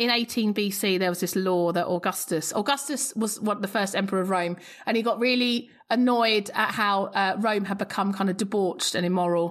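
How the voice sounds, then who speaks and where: She has an ordinary speaking voice at a medium pitch for a woman. Her pace is fairly quick and her intonation fairly even. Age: 40s. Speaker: classicist podcast host. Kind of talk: casual interview chat. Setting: video call.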